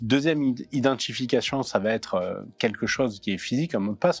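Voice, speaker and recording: With music in the background, a man in a southern French accent speaks with ordinary pitch variation. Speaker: cybersecurity expert. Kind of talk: interview. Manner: hesitant, many fillers.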